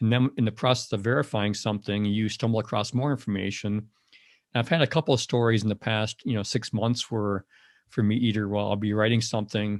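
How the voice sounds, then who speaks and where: With an American accent, a man with a fairly low voice talks at a very fast pace and with fairly even intonation, in a dry, close sound with no echo on a very clean recording with a silent background. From Wisconsin, Madison. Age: 60s. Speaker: outdoor writer. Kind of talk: podcast interview. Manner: halting, many fillers and repeats.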